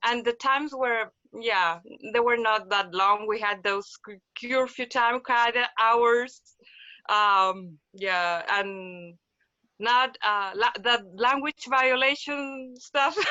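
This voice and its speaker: Speaking very slowly with a Spanish accent, a woman uses a fairly high pitch and ordinary pitch variation. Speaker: physical therapist. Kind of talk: casual interview. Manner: halting, many repetitions.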